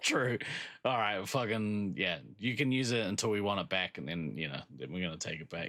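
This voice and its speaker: Speaking at a moderate pace in a New Zealand accent, a man with a fairly low voice, a bright, sharp tone, vocal fry and lively intonation is heard on a very clean recording with a silent background. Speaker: podcast co-host. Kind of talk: casual chat.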